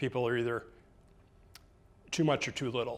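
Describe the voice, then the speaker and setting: The speaker is a man. His voice sits at medium pitch. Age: 60s. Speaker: tai chi and qigong instructor. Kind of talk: lecture. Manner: casual, with fillers.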